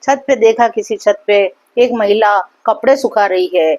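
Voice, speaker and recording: A woman's fairly high voice rises and falls in very wide pitch swings, recorded dry and close with no echo. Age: 60s. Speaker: motivational speaker. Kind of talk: motivational talk with story.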